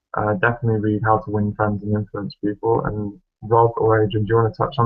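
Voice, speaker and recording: Music plays behind a man with a fairly low voice. He talks at a fairly quick pace with fairly even intonation. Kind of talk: casual chat.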